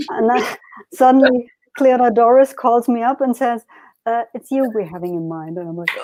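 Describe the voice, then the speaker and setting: A woman with a German accent speaks at a high pitch, her tone dark and mellow. The sound is dry and close, with no echo. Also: moderate pace. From Germany, Berlin. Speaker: harpist and magazine editor. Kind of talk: interview. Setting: live online stream. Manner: halting.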